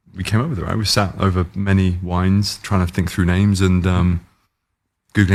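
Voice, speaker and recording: On a very clean recording with a silent background, a man with a British accent speaks fast-ish in a very deep, low voice with monotone, flat intonation. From England. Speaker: sports car company founder. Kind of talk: casual chat. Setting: in California, car unveiling event.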